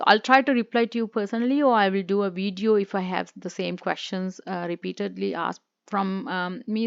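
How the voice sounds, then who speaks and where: The speaker talks at a fairly quick pace in a Sri Lankan accent, the sound dry and close with no echo over a quiet background. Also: woman. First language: Sinhala. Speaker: YouTuber, former immigration consultant. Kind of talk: informational talk to camera. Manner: hesitant, many fillers.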